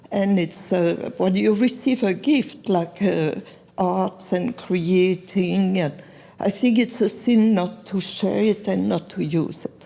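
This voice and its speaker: The voice has a dark, mellow tone with vocal fry, moving at a fairly slow pace with ordinary pitch variation. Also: woman. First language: not English. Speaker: artist. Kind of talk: interview. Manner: halting.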